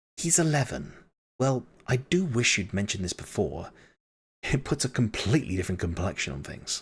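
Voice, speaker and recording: Putting on a croaky character voice, a man speaks fairly quickly at a medium pitch with very wide pitch swings, in a very clean recording with a silent background. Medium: read story. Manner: gruff.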